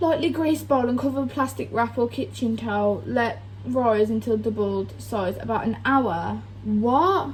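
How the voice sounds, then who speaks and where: Over noticeable background noise, a woman with a Birmingham accent talks at a moderate pace. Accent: Birmingham (Brummie) English. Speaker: vlogger. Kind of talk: reading aloud.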